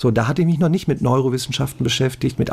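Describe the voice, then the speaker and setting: A man talks in a somewhat breathy voice at a medium pitch. His tone is dark and mellow. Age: 40s. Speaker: math YouTuber and online tutor. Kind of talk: casual chat.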